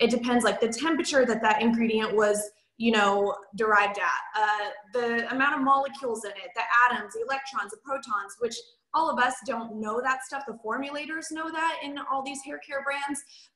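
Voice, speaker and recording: Speaking at a fairly quick pace, a woman with a high voice swings widely in loudness. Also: ordinary pitch variation. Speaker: hairstylist and product trainer. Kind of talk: training webinar. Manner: fast; casual, filler-heavy.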